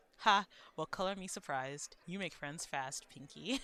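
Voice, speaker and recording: In a put-on character voice, the speaker rumbles along at a moderate pace and a middle pitch. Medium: game stream.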